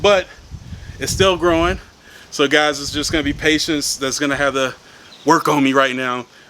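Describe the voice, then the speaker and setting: A man's fairly high voice with fairly even intonation over noticeable background noise. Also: long, frequent pauses. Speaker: gardening vlogger. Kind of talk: casual vlog. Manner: fast.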